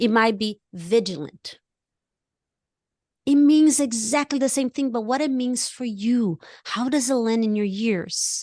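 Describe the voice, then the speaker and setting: In a non-native accent, a woman with a fairly high pitch and an animated tone speaks at a fairly slow pace with long, frequent pauses and ordinary pitch variation, the sound dry and close with no echo against a quiet background. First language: not English. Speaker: life coach. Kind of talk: casual chat. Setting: podcast.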